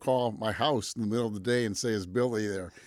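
A man with an American accent speaks in an ordinary speaking voice, fairly low and fairly even in intonation. He goes at a fairly quick pace on a very clean recording with a silent background. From Michigan, Pontiac. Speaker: college president. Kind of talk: interview. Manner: frequent fillers (um).

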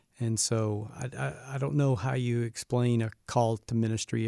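With an American accent, a man speaks in a dark, mellow tone at a medium pitch with fairly even intonation. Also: hardly any pauses. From US South, Birmingham, Alabama. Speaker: university president. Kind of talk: interview.

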